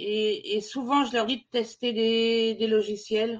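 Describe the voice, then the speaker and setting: A woman with a fairly high voice talks very slowly. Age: 50s. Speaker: digital mediator and festival organizer. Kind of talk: interview. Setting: video call. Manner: hesitant, many fillers.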